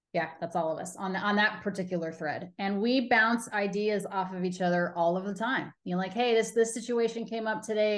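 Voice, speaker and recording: Against a quiet background, a woman talks at a fairly quick pace. Her pitch is medium, with ordinary variation. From Colorado. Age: 40s. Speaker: baseball TV host and reporter; baseball TV host, reporter. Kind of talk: casual interview. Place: home room. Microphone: video call.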